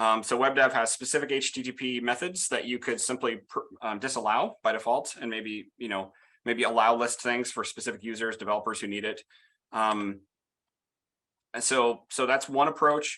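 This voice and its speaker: Medium-pitched male voice with a bright, sharp tone and fairly even intonation. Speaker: security software founder giving conference talk. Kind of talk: conference talk. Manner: fast; many fillers and repetitions.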